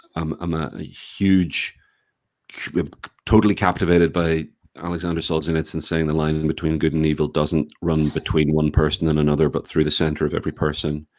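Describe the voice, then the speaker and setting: On a very clean recording with a silent background, a man with a Northern Irish accent speaks in a very deep, low pitch with monotone, flat intonation. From Northern Ireland, Belfast. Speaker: writer and activist. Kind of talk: podcast interview.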